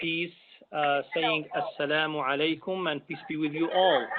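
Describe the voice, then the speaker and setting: With an Arabic accent, a man speaks fairly slowly in a high pitch with fairly even intonation. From Algeria. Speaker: imam, commission member. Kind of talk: self-introduction at public meeting.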